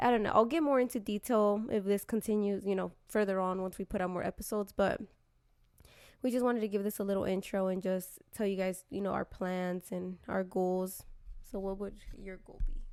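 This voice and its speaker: Using an ordinary speaking voice, a woman talks at a fairly quick pace with medium pitch and fairly even intonation, on a very clean recording with a silent background. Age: 20s. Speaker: YouTuber. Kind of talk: casual chat. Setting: home recording sharing one mic.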